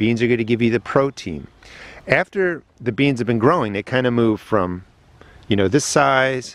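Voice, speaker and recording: A man talks at a moderate pace with ordinary pitch variation. The sound is dry, with no echo. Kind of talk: tutorial. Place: garden. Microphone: phone near.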